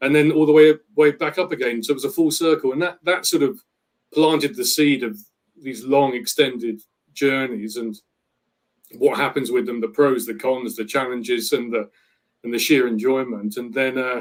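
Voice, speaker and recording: Speaking at a moderate pace, a man with a British accent uses a medium pitch and ordinary pitch variation. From Britain. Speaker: travel planner. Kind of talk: interview.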